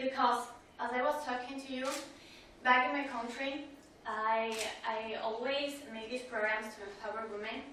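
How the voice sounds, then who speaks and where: A woman with a high pitch speaks at a fairly slow pace with fairly even intonation. Audible room echo and noticeable background noise are present. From Ecuador, Quito. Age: 20s. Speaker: professor, politician and radio host. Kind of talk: conference talk.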